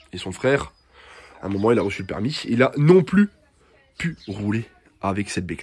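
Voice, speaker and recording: In an animated tone, a man's voice makes very wide pitch swings, broken by long, frequent pauses. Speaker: moped mechanic youtuber. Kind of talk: casual tutorial. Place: workshop. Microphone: phone near.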